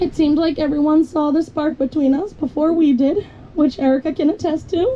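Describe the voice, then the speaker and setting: A woman's high-pitched voice with ordinary pitch variation and very even loudness, at a fairly quick pace amid noticeable background noise. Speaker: bride. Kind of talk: wedding vows. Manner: fast.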